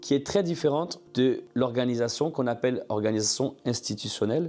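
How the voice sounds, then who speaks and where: The man's voice has a dark, mellow tone. He speaks at a moderate pace with lively intonation. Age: 40s. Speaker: ministry founder. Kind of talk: testimony.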